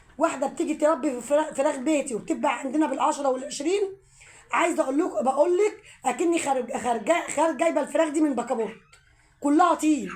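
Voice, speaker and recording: Over noticeable background noise, a high-pitched woman speaks at a fairly quick pace with very even loudness and ordinary pitch variation. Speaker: home poultry vlogger. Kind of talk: casual vlog talk.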